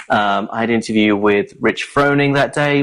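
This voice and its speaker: A man with a British accent at a fairly quick pace, against a quiet background. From southern England, Brighton. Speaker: journalist. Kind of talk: casual chat.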